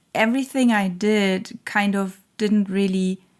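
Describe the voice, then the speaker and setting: A woman speaks very slowly in a non-native accent, her medium pitch held to a fairly even intonation, on a very clean recording with a silent background. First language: not English. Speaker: tarot reader. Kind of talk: channeled tarot reading monologue. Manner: halting, many fillers.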